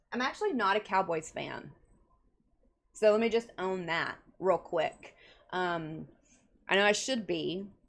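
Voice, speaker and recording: In a Texas accent, a woman with a medium pitch and an animated tone speaks fairly slowly with long, frequent pauses and ordinary pitch variation against a quiet background. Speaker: counselor and live show host. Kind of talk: casual chat. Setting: home bedroom, livestream.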